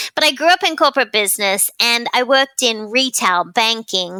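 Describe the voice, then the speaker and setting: A fairly high-pitched woman's voice with a bright, sharp tone and an Australian accent, on a very clean recording with a silent background. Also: dry, close sound with no echo. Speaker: client experience expert and author. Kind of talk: podcast interview. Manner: animated.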